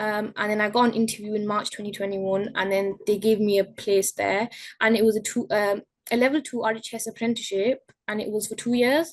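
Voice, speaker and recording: Speaking at a fairly quick pace, a woman with a fairly high pitch keeps her intonation fairly even. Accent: Yorkshire. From northern England, Bradford. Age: young. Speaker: horticulture apprentice. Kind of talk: interview. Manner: hesitant.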